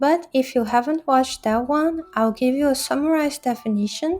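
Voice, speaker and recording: Speaking at a moderate pace, the woman shows ordinary pitch variation in a non-native accent. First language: not English. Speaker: linguistics educator, video essayist. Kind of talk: educational video narration.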